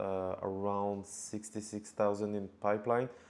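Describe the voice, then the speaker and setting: In a strong French accent, a man speaks at a fairly low pitch. The background is quiet. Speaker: cold email marketer. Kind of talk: tutorial.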